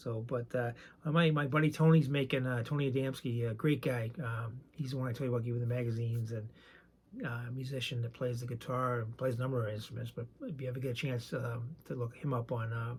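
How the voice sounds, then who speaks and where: A man with a medium pitch talks at a very fast pace. His voice is somewhat breathy, with fairly even intonation. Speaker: sports card collector and YouTuber. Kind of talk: casual video chat. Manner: halting with many fillers.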